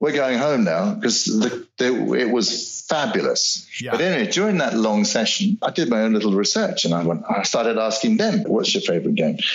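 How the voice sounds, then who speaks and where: Over noticeable background noise, a man of medium pitch speaks at a moderate pace with very wide pitch swings and very even loudness. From South Africa, English parents. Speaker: voice actor. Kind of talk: interview. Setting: remote call.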